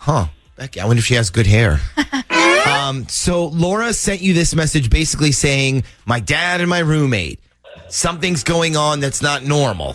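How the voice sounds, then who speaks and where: A man speaks with lively intonation at a fairly high pitch, over noticeable background noise. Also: moderate pace. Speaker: radio show host. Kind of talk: radio prank call banter.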